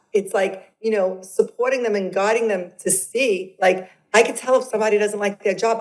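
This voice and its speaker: With a strong New York accent, a woman talks at a fairly quick pace and a medium pitch, with ordinary pitch variation and hardly any pauses. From Brooklyn, New York. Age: 50s. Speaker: transformational coach. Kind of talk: podcast interview. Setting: video call.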